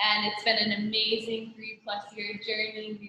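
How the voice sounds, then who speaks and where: A woman talks at a moderate pace. Her pitch sits fairly high. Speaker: bride. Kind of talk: wedding vows. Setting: video call. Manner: loud.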